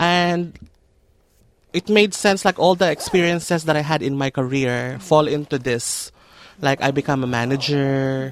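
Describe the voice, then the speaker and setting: At a moderate pace, a woman speaks in a very deep, low pitch with ordinary pitch variation and big swings in loudness. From Philippines, Makati. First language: Tagalog. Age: 30s. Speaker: hairdresser and makeup artist. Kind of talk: interview, casual Taglish chat. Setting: studio.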